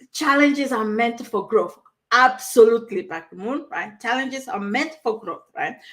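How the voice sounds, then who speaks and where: With a strong West African accent, a woman speaks at a high pitch and a fairly slow pace. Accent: heavy West African. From Togo, West Africa. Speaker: online coach. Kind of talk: live stream talk. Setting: live stream from a new room. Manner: animated, conversational with frequent fillers.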